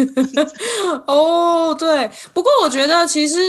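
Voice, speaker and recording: A woman talking at a moderate pace. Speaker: podcast host. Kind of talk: casual interview chat. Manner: laughs a lot.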